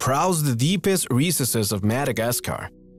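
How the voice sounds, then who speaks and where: Music plays in the background as a man speaks with lively intonation. The sound is dry, with no echo. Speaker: narrator. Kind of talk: documentary-style narration.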